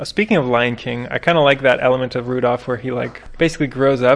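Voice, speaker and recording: A man talks at a fairly quick pace with a medium pitch. Noticeable background noise is present. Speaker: podcast co-host. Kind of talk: casual chat.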